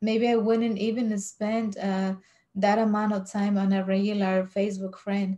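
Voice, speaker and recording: A woman's medium-pitched, somewhat breathy voice with a Spanish accent, a dark, mellow tone, monotone, flat intonation and a moderate pace. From Mexico. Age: 40s. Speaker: vlogger. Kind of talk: casual vlog monologue. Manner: hesitant, many fillers.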